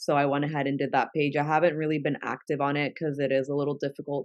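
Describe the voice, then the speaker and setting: A woman with a Spanish accent speaks at a very deep, low pitch. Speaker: content creator. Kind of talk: interview conversation.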